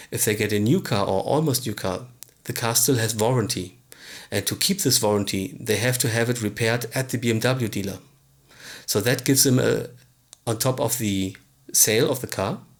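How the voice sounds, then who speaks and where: A man with a non-native accent talks at a fairly quick pace, somewhat breathy, with ordinary pitch variation and long, frequent pauses. The recording is very clean, with a silent background. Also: medium pitch for a man. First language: not English. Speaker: business coach / tutorial presenter. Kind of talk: tutorial. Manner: halting, with fillers.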